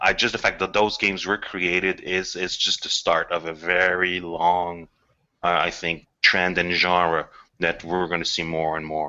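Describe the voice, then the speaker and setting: A man speaks with a French accent at a very deep, low pitch. His intonation is monotone and flat. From Quebec. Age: 40s. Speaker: video game scriptwriter. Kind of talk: casual chat. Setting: video call.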